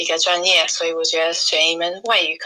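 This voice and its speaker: A woman with an English accent speaks at a moderate pace. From England. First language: English (speaking Chinese). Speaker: YouTuber and language learner. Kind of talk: interview. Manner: halting.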